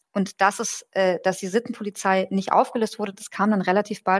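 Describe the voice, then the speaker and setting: A woman at a fairly quick pace, with a dry, close sound and no echo. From German-Iranian. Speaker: journalist and political scientist. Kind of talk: interview. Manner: hesitant, many fillers.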